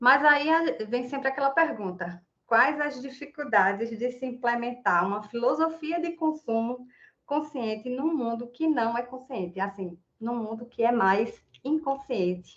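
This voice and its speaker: A woman with a high pitch uses lively intonation at a fairly slow pace. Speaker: environmental activist speaker. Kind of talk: online talk presentation. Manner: animated.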